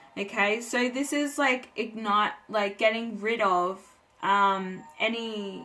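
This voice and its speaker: Over music in the background, a woman talks at a very slow pace. Her medium pitch shows ordinary pitch variation. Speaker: tarot reader. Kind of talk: tarot reading monologue. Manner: hesitant with frequent fillers.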